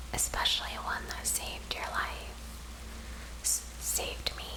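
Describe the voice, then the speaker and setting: A soft-spoken woman is whispering. Noticeable background noise can be heard. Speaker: ASMR story narrator / author. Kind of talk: whispered ASMR story reading. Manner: whispered, soft.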